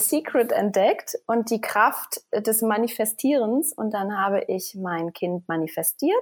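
A woman's fairly high voice at a very slow pace. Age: 30s. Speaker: fitness coach. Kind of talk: interview.

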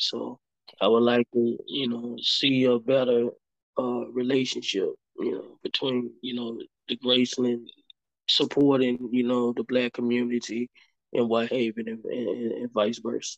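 A man at a fairly slow pace with a medium pitch and monotone, flat intonation, in a dry, close sound with no echo. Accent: Memphis. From US South, Memphis, Tennessee. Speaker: community organizer. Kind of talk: interview. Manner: halting, many fillers.

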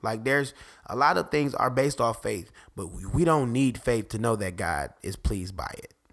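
Speaking at a moderate pace, a man with a medium-pitched voice and vocal fry sounds animated, his intonation lively and his loudness swinging widely. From Detroit, US Midwest. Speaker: podcast host. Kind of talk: casual talk show monologue.

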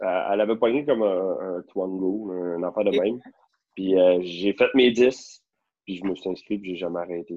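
Man's voice, very deep and low in pitch, with ordinary pitch variation at a moderate pace. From Quebec, Rosemère north of Montreal. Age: 30s. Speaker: real estate broker. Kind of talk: casual chat.

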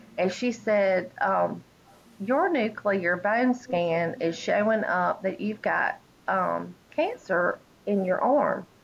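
A woman in a Southern US accent at a very slow pace, her loudness very even. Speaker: pastor's wife, cancer survivor. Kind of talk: testimony. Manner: halting.

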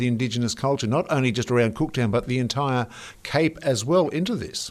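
A man speaks with an Australian accent. His pitch is medium, with ordinary variation. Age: older than guest. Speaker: radio host. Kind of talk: radio interview.

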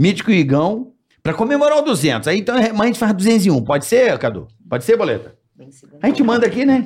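A high-pitched man talks at a fairly quick pace in an animated tone. His pitch swings very widely and his loudness shifts a lot. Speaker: podcast host. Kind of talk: casual chat. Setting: studio. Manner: animated, jokey.

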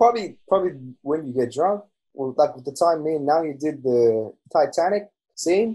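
Speaking at a moderate pace with an Australian accent, a man has a dark, mellow tone, fairly high pitch, lively intonation and big swings in loudness. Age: 20s. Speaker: podcast guest. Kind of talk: casual chat.

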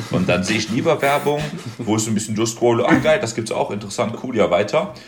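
The speech moves at a fairly quick pace amid noticeable background noise. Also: man. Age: 20s. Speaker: podcast guest, student. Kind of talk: casual chat.

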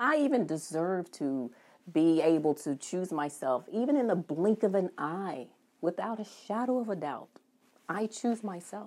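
Recorded very cleanly against a silent background, a woman with a medium-pitched voice and a warm, calm tone speaks at a fairly slow pace, her pitch swinging very widely. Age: 40s. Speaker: physician and practice owner, podcast host.

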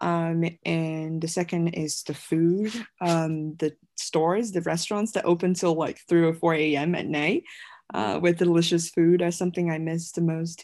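The speaker talks at a moderate pace with a Chinese accent. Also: woman, fairly low pitch for a woman. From China (Guiyang, Guizhou). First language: Mandarin Chinese. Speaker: multimedia creator, film graduate. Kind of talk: interview conversation. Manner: hesitant, many fillers.

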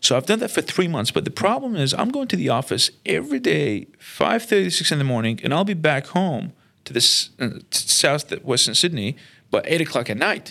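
With a bright, sharp tone and vocal fry, a man talks at a moderate pace, his pitch swinging very widely. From Iraq (Baghdad), Armenian community. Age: 30s. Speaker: entrepreneur. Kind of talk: personal storytelling monologue.

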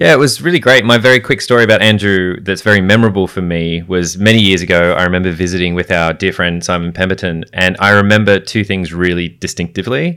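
A man with an Australian accent speaks at a very fast pace with hardly any pauses, his very deep, low voice carrying a bright, sharp tone and ordinary pitch variation. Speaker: podcast co-host. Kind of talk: casual chat.

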